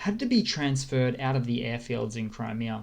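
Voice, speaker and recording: Someone speaks at a moderate pace in an Australian accent. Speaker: news commentary YouTuber. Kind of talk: casual news update over a map. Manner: halting, many fillers and restarts.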